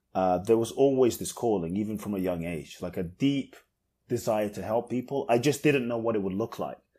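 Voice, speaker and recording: A man's dark, mellow voice at a fairly quick pace, ordinary pitch variation, on a very clean recording with a silent background. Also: medium pitch for a man. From London, England. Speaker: inspirational speaker. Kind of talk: podcast interview.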